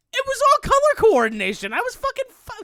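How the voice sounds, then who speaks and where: A woman uses a put-on character voice. It is squeaky and moves at a fairly quick pace. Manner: defensive.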